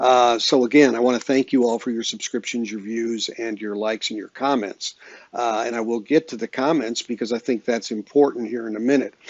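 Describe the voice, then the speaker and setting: A man of medium pitch keeps his intonation fairly even. He talks at a fairly quick pace with hardly any pauses. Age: 60s. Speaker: audiophile YouTuber, record collector. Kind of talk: casual vlog monologue. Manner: halting, many fillers and repeats.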